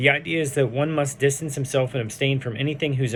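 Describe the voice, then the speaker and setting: Speaking at a very fast pace, a man holds a medium pitch. Audible room echo surrounds his voice. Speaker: Torah teacher. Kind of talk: text study lecture, reading aloud with commentary. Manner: halting, with fillers.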